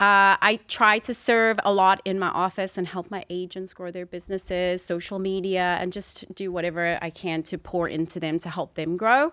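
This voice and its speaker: In a South African accent, a woman speaks at medium pitch and moderate pace in a bright, sharp tone, with a dry, close sound free of echo on a very clean recording with a silent background. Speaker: real estate agent. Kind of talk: casual chat. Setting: studio.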